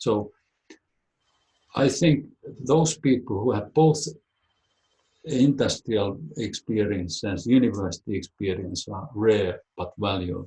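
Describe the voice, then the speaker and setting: A somewhat breathy voice with a dark, mellow tone speaks in a Finnish accent and lively intonation. The pace is very slow, with long, frequent pauses. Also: man, fairly low pitch for a man. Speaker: biologist. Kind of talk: webinar talk and Q&A.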